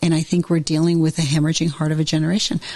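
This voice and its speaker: A woman speaks with a somewhat breathy, dark, mellow tone at a fairly low pitch. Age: 60s. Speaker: therapist and author, podcast host. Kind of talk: casual interview conversation. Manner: animated.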